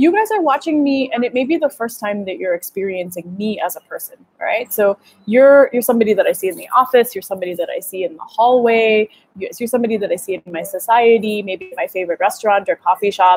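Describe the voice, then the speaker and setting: A woman with an American accent talks at a very fast pace in a fairly high pitch. Her tone is energetic and animated, and the sound is dry and close with no echo. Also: lively intonation. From US, Gujarati American family. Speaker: dating coach. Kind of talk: livestream masterclass. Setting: live video stream. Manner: energetic, animated.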